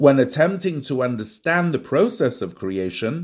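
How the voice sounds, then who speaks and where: On a very clean recording with a silent background, a man speaks at a fairly high pitch. His pitch swings very widely. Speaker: audiobook narrator. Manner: formal, even-paced and deliberate, with a clear expository tone.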